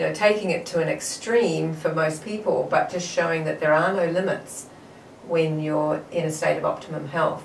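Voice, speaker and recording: Over noticeable background noise and audible room echo, a woman speaks at a moderate pace. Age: 60s. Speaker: marathon runner and health advocate. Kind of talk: interview.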